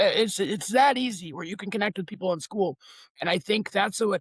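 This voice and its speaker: A loud man speaks in an animated tone with a high pitch. The sound is dry and close, with no echo. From Lithuania. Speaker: online community founder. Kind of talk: podcast interview.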